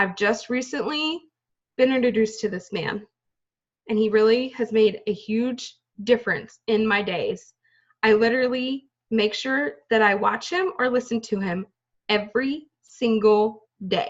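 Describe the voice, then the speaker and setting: A woman speaks at a fairly slow pace in a fairly high pitch. Her voice is somewhat breathy, with ordinary pitch variation. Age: 30s. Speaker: direct sales team leader. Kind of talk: motivational team talk. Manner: casual, animated.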